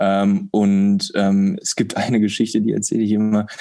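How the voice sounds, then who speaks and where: In a dark, mellow tone, a man talks with a fairly low pitch and monotone, flat intonation. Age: 20s. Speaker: startup co-founder. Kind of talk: interview.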